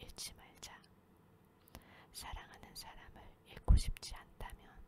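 Words come out in a whisper. The pace is very slow. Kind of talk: sleep reading of a self-help book. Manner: whispered.

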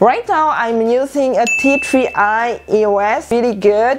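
There is light background noise behind this woman with a French accent. Her pitch is fairly high, with ordinary variation. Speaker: YouTuber and stylist. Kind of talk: casual vlog. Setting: home video. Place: home room. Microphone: lapel.

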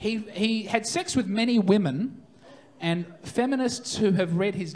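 A man speaks at a fairly slow pace with a high-pitched voice. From Australia. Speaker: stand-up comedian. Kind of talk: live stand-up comedy set. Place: stage. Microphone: handheld.

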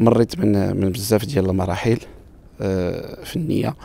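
Dry with no echo, a man's dark, mellow tone comes through at a moderate pace. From Morocco, Marrakech; Morocco. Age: 40s. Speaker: wedding musician and bandleader. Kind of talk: interview. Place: garden. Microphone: handheld.

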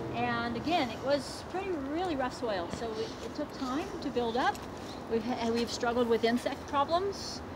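A woman talks at a moderate pace over noticeable background noise. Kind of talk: guided tour explanation. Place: garden.

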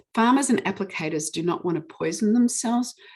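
Speaking with a New Zealand accent, a woman uses lively intonation. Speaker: witness giving evidence on pesticide regulation. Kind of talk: testimony at a public hearing with slides. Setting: online public hearing. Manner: fast.

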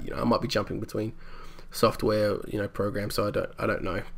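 A man speaks here. His pace is fairly quick. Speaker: gamer. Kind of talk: casual talk to camera. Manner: hesitant, mumbling, lots of filler.

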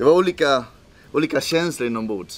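A man speaks with a Spanish accent. Light background noise can be heard. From El Salvador, raised in Swedish suburbs from age 11. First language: Spanish (speaking Swedish). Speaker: missionary leader. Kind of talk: interview testimony. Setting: outdoors at a game park camp in South Africa. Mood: reflective personal testimony.

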